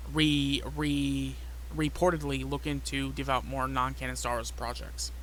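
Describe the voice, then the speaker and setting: With audible room echo around him, a man with a very deep, low pitch speaks at a moderate pace in a monotone, flat intonation. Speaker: YouTuber, fan commentator. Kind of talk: casual chat. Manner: halting.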